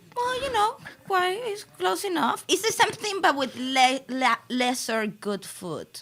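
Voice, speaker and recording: With a Venezuelan accent, a woman talks in a high pitch that swings very widely, amid noticeable background noise. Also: fairly slow pace. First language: Spanish. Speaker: comedian. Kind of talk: casual chat.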